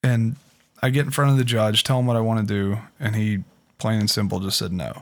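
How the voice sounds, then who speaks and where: A man speaks at a medium pitch and a fairly quick pace. His is an unremarkable speaking voice with ordinary pitch variation. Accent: American. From Pittsburgh, US. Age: 30s. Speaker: former addict sharing recovery story. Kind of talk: testimony.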